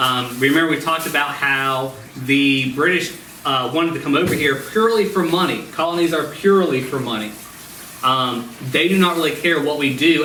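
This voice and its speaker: Over noticeable background noise and audible room echo, a man speaks at a fairly quick pace, his pitch fairly high with ordinary variation. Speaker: history teacher. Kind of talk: recorded class lesson. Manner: loud.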